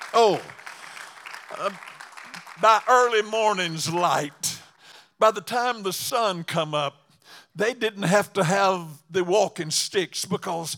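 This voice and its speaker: Speaking at a very slow pace with a Southern US accent, a man uses a high pitch, a bright, sharp tone and ordinary pitch variation. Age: 80s+. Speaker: evangelist preacher. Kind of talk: sermon. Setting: church.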